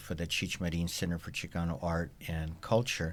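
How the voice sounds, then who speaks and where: A man speaks with a very deep, low pitch. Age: 60s. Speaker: cultural event organizer. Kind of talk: interview. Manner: halting.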